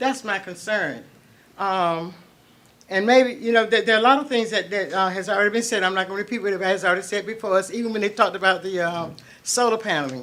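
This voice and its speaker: A very fast woman's voice with an American accent, medium pitch and ordinary pitch variation. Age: 70s. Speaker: public commenter at county meeting. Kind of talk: public comment at meeting. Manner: halting, with many fillers.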